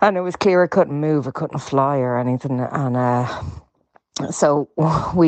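An Irish accent at a moderate pace. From west of Ireland. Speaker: caller. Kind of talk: voice note story.

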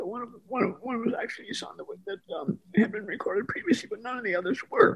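A man with an American accent speaks very fast in an extremely high pitch, with big swings in loudness. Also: ordinary pitch variation. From Milwaukee, Wisconsin. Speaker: musician. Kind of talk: casual interview. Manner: halting.

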